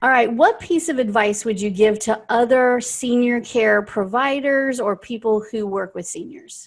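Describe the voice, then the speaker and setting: A woman speaks in an unremarkable speaking voice, fairly high in pitch, with ordinary pitch variation and a fairly slow pace. There are hardly any pauses, and the recording is very clean with a silent background. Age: 40s. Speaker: podcast host. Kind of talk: interview.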